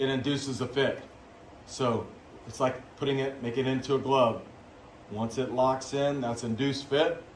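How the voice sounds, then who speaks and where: A man's medium-pitched voice at a moderate pace, with long, frequent pauses and audible room echo. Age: 50s. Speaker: biology teacher. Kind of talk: lecture. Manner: animated.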